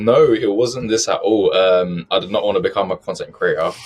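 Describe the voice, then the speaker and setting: His pace stays moderate. The man speaks in a British accent. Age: 20s. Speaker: personal finance content creator. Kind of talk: podcast interview.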